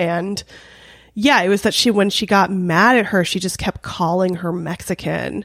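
Speaking with a Californian accent at medium pitch and a moderate pace, a woman is heard on a very clean recording with a silent background. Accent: Californian American English. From Los Angeles, North Hollywood. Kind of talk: casual chat. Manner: animated.

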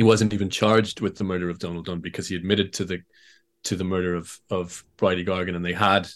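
Against a quiet background, the speaker talks very fast in a monotone, flat delivery with an Irish accent. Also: man. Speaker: author. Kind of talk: interview.

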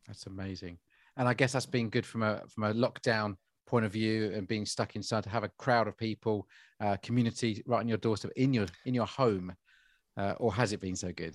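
Fairly quick and fairly even in intonation, a man talks in a fairly low pitch with an ordinary speaking voice. The sound is dry and close, with no echo. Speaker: podcast host. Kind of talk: interview conversation.

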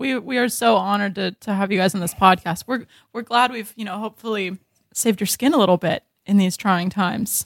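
A woman's medium-pitched, normal speaking voice moves at a fairly quick pace with ordinary pitch variation, recorded very cleanly against a silent background with a dry, close sound and no echo. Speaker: comedian. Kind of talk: comedic improv banter.

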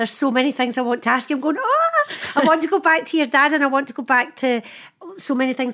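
Speaking at a very fast pace in a Scottish accent, a woman uses a raised, projected voice with high pitch and ordinary pitch variation over noticeable background noise. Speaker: podcast host. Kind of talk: casual chat. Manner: animated.

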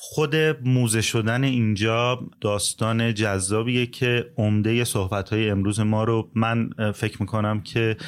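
On a very clean recording with a silent background, a man talks at a fairly slow pace. His medium-pitched voice is monotone and flat, with very even loudness. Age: 40s. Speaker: music business owner. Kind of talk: casual interview.

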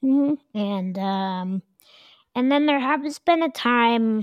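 At a fairly slow pace, a woman uses an ordinary speaking voice with lively intonation. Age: 30s. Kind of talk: interview.

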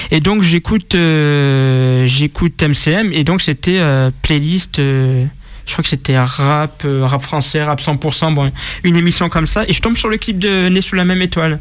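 A man speaks in a fairly high voice at a very slow pace. His loudness stays very even, and his pitch varies in an ordinary way. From Marseille, southern France. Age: 20s. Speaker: rap media founder. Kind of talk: casual interview. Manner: halting.

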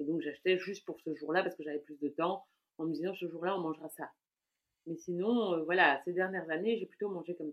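A woman with a plain, everyday voice talks fairly quickly at a fairly low pitch, her intonation fairly even but her loudness swinging widely. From Belgium, Brussels. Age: 40s. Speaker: food blogger. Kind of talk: casual interview chat.

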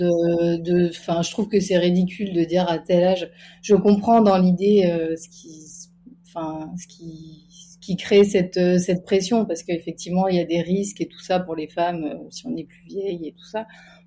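A woman speaks at a moderate pace in a fairly low, dark, mellow voice that is somewhat breathy. Her intonation is fairly even while her loudness swings widely. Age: 20s. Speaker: stay-at-home mother. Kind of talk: casual interview.

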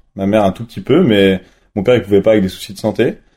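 At a very fast pace, a man talks in a fairly low voice with a dark, mellow tone and fairly even intonation. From France, Nantes then La Plagne (Savoie). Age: 20s. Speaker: freestyle skier. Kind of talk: interview. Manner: halting, with many fillers.

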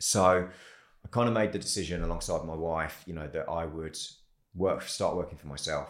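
A man with a very deep, low voice speaks with big swings in loudness amid audible room echo. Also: ordinary pitch variation, moderate pace. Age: 40s. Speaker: creative agency founder. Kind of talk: interview.

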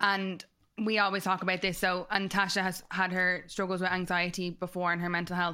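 With a Dublin accent and a bright, sharp tone, a woman speaks at a medium pitch and a fairly quick pace. Her intonation is monotone and flat, her loudness very even, and the recording very clean with a silent background. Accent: Dublin Irish. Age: 30s. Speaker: podcast co-host. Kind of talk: casual chat.

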